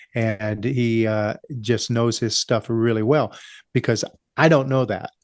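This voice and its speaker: Over a quiet background, a man with an American accent uses an ordinary speaking voice at a fairly slow pace and fairly even intonation, the sound dry and close with no echo. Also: medium pitch for a man. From US West, California. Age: 60s. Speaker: small business owner. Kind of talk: interview. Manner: casual, frequent fillers.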